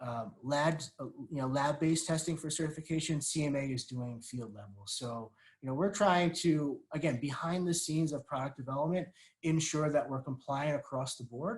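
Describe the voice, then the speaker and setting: A man speaks in a somewhat breathy voice, fairly high in pitch. His pitch variation is ordinary. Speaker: webinar panelist, packaging industry representative. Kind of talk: webinar presentation. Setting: online webinar. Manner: fast; many fillers and repetitions.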